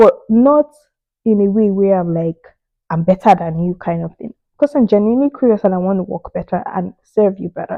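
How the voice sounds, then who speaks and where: In a Nigerian accent, a woman speaks with an animated tone and ordinary pitch variation. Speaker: immigrant career advice vlogger. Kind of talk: casual advice monologue.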